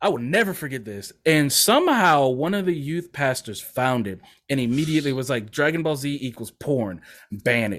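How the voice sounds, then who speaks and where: In a very clean recording with a silent background, a man with a normal speaking voice and an American accent talks at a moderate pace, his fairly high pitch carrying lively intonation. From Louisiana, US South. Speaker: content creator. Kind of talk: casual chat.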